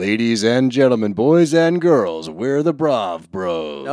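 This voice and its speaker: Using a put-on character voice at a medium pitch, a man speaks at a fairly slow pace with very wide pitch swings. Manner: over-the-top, theatrical.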